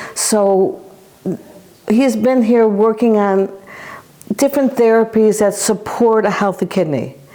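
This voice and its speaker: Over noticeable background noise, a woman speaks at a fairly slow pace with very even loudness and long, frequent pauses. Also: ordinary pitch variation. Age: 70s. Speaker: clinic patient. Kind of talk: testimony. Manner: halting.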